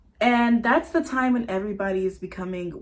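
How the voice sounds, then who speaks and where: With an American accent, a woman speaks in a normal speaking voice at medium pitch, ordinary pitch variation and a moderate pace. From US South, Atlanta, Georgia. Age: 20s. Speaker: vlogger. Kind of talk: casual personal vlog monologue.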